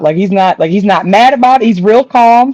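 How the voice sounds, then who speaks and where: A woman's fairly high-pitched voice with a dark, mellow tone and ordinary pitch variation, in a dry, close sound with no echo. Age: 40s. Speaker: real estate investor. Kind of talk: casual chat.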